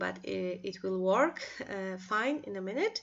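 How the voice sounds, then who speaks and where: A woman talks with a Polish accent. Her pace is fairly slow. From Poland. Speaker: craft designer. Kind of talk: tutorial. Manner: halting.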